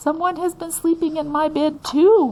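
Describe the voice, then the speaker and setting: Putting on a character voice, a woman speaks at a moderate pace in an extremely high pitch. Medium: read story.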